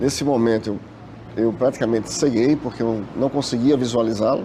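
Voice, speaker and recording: A man's medium-pitched voice at a moderate pace, fairly even intonation, with noticeable background noise. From Brazil, Recife, Pernambuco. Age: 40s. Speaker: bank worker, trauma survivor. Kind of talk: testimony.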